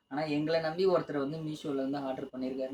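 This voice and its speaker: A man's fairly high voice with a dark, mellow tone. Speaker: couple vlogger. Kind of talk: casual chat. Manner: talkative.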